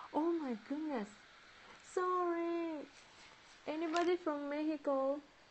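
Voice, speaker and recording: In a Japanese accent, a woman with a high voice speaks at a fairly slow pace with long, frequent pauses and ordinary pitch variation over light background noise. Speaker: origami livestreamer; origami teacher. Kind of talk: live-stream tutorial. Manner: halting; giggly. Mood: cheerful, apologetic. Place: home room. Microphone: earbuds.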